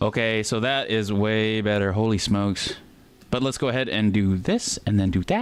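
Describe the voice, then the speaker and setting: A man speaks in a plain, everyday voice, fairly low in pitch, at a moderate pace with fairly even intonation and very even loudness. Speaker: music producer livestreamer. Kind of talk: livestream tutorial, casual. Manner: casual, chatty with viewers.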